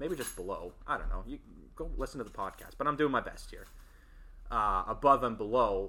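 A man's fairly quick speech with big swings in loudness. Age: 20s. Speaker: podcast host. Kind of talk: casual chat. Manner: animated.

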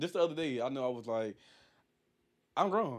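An unremarkable speaking voice from a man, fairly high in pitch, with lively intonation. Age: 30s. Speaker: podcast co-host. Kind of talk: casual chat.

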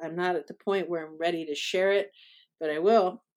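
A woman with a normal speaking voice talks at a fairly low pitch with fairly even intonation, recorded very cleanly against a silent background. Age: 40s. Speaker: writer and poet. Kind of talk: casual chat. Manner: many filler words.

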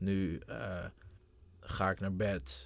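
Very deep and low, a man's voice carries vocal fry on a very clean recording with a silent background. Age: 20s. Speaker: young entrepreneur. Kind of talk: casual chat.

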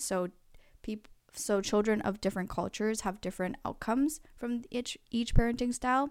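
With a normal speaking voice, a woman talks at a moderate pace and fairly high pitch, with ordinary pitch variation, on a very clean recording with a silent background. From Canada, Korean family. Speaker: student podcast host. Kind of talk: casual interview with lecture-style explanations.

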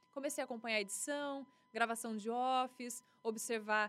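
Here a woman speaks in a plain, everyday voice with a fairly high pitch. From western São Paulo state, Brazil. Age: 30s. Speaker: TV news anchor and journalist. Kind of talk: casual interview.

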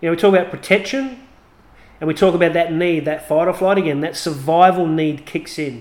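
Pitched high, a man talks at a fairly quick pace with ordinary pitch variation. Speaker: podcast host. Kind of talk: angry rant, profane and emphatic, defending rage as healthy; solo podcast monologue, personal and informal. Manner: heated, forceful, swearing, insistent; casual, conversational, with filler words.

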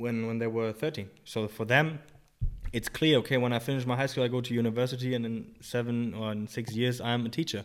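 A man speaks at a fairly quick pace with a German accent. His pitch is medium and his intonation fairly even. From Germany. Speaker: personal trainer and rehab coach. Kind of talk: casual interview. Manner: halting, many fillers.

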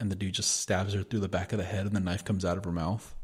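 Recorded very cleanly over a silent background, a man speaks with a fairly low pitch and a somewhat breathy quality. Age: 30s. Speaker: podcast co-host. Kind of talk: casual chat.

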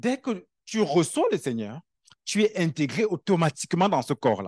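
A man talks fairly slowly with lively intonation. The recording is dry and close with no echo, and the background is quiet. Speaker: preacher. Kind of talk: sermon. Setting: church. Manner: conversational, animated preaching with everyday analogies and repetition.

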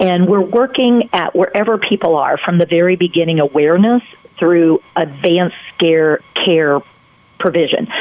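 At a moderate pace, a woman speaks in a fairly low voice with ordinary pitch variation and very even loudness, over noticeable background noise. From North Carolina. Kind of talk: radio interview. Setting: phone call.

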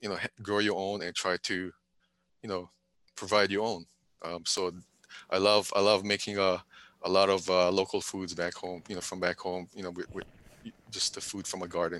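A man with a Hawaiian accent speaks in a very deep, low voice at a moderate pace, with long and frequent pauses. His delivery is flat and monotone, and the recording is very clean with a silent background. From Hawaii, Big Island (Pahala, Kau district). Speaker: retired military, civil servant. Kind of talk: casual interview. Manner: hesitant, many fillers.

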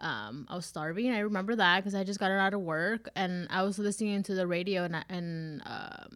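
With an unremarkable speaking voice, a woman speaks at a moderate pace and medium pitch, her intonation fairly even, on a very clean recording with a silent background. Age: 20s. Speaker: HR worker and podcast co-host. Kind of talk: casual chat.

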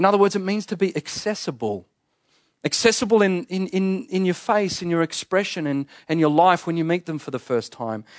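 A high-pitched man with an Australian accent at a fairly quick pace, lively in intonation, in a dry, close sound with no echo against a quiet background. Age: 30s. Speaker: pastor. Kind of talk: sermon. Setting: church.

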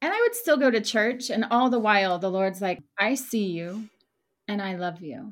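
A woman talks at a moderate pace with a plain, everyday voice. Her pitch is fairly high and her intonation lively. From Oklahoma. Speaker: ministry worker. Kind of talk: testimony.

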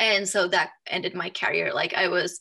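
A woman speaks with a bright, sharp tone at a medium pitch. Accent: Finnish. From Finland. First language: Finnish. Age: 30s. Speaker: authenticity coach, former professional volleyball player. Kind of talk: interview.

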